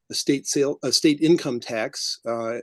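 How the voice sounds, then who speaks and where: An ordinary speaking voice from a man with an American accent, fairly high pitch, ordinary pitch variation and a moderate pace, dry and close with no echo over a quiet background. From US Midwest. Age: 60s. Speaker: political candidate. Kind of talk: candidate forum answer.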